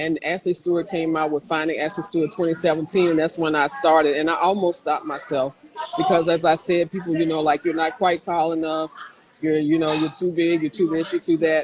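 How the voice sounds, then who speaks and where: A woman with a fairly low pitch talks at a fairly quick pace and fairly even intonation, with noticeable background noise in the recording. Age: 60s. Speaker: plus-size mature model. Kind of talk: interview. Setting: livestreamed video call.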